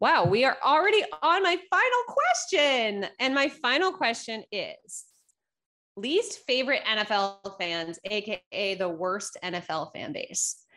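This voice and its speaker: A woman's raised, projected voice in an East Coast US accent, high-pitched with a bright, sharp tone, very wide pitch swings and a fairly slow pace. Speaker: sports podcast host. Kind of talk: casual chat.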